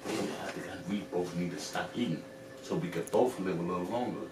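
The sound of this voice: A man's low-pitched voice at a fairly quick pace, with ordinary pitch variation and audible room echo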